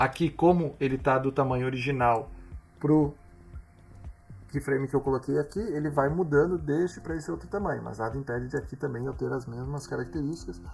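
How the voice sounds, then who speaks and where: With music in the background, a man talks at a fairly quick pace and fairly high pitch, with ordinary pitch variation. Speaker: tech tutorial youtuber. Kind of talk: tutorial.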